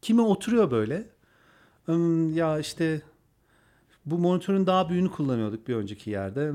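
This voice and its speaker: A man speaks at a moderate pace with a dark, mellow tone and a high pitch. His pitch swings very widely, and the recording is very clean with a silent background. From Turkey, Antalya. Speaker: advertising agency owner. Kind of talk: interview.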